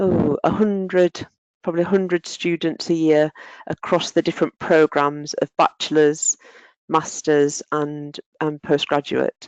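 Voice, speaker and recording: Her pitch is very deep and low, and this woman talks at a fairly slow pace. Intonation stays fairly even, and the sound is dry and close with no echo. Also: quiet background. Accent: northern English. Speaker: occupational therapist and lecturer. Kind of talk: webinar presentation.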